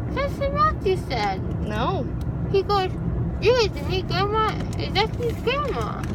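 There is loud background noise, yet the sound is dry with no echo. A woman speaks at a fairly slow pace. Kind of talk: casual vlog chat. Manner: drowsy, slurred numb-mouthed talk. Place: car. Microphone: phone near.

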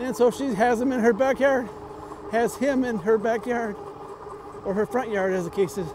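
The recording sounds dry with no echo, though background noise is noticeable. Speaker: e-bike vlogger. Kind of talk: casual vlog chat. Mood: reflective, then lighter. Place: bicycle. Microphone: lapel.

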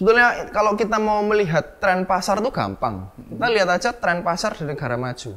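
With a Javanese accent, a man talks at a fairly quick pace in a high voice with lively intonation. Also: hardly any pauses. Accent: Javanese-accented Indonesian (medok). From Surabaya, East Java; East Java. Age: young. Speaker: entrepreneur; presenter. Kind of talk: interview. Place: home room.

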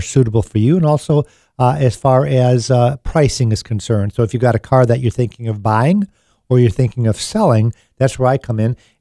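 A man's dark, mellow voice at a fairly quick pace, dry with no echo against a quiet background. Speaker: radio show host. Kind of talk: radio talk show advice. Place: studio. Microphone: studio mic.

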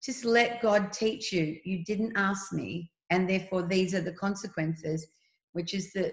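Against a quiet background, a woman with an Australian accent speaks at a moderate pace in a somewhat breathy voice with ordinary pitch variation. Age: 60s. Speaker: speaker. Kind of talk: interview about faith and fear. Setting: video call. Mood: warm, earnest, faith-filled. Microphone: video call.

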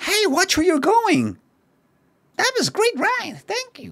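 In a put-on character voice at an extremely high pitch, the speaker goes at a fairly slow pace. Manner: arcade style.

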